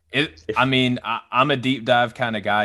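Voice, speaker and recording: The voice belongs to a man with a Southern US accent. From Arkansas, US South. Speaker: draft analyst, Navy member. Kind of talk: casual chat.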